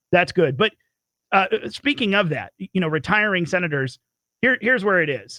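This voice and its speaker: A man is speaking. His pace is very fast. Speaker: radio talk show host. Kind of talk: political talk radio.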